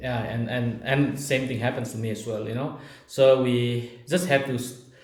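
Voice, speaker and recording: A medium-pitched man with an Indian accent, moderate pace and fairly even intonation, plus noticeable background noise and audible room echo. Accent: non-native English, Indian. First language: Naga language. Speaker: video blogger. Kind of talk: casual Q&A chat. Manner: halting.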